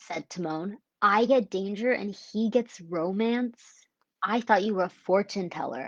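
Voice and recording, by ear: A natural voice reading aloud, ordinary pitch variation, quiet surroundings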